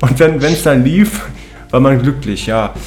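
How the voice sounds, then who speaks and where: Audible room echo and noticeable background noise surround a man speaking at a medium pitch and a fairly slow pace. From Cologne, Germany. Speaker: radio host. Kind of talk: casual chat.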